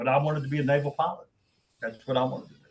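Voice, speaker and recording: Somewhat breathy, a man talks at a very fast pace. His intonation stays fairly even. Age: 70s. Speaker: business executive. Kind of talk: Q&A on video call.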